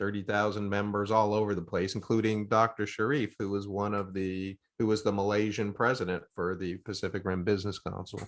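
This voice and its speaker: Speaking at a fairly quick pace, a man with a fairly low voice keeps a flat, monotone intonation. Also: quiet background. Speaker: academic and business consultant. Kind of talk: video call meeting discussion. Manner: fast.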